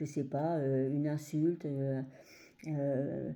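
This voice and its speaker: This is a woman speaking. Her pace is very slow. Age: 60s. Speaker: adult trainer and former care assistant. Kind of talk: personal testimony. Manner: hesitant, many fillers.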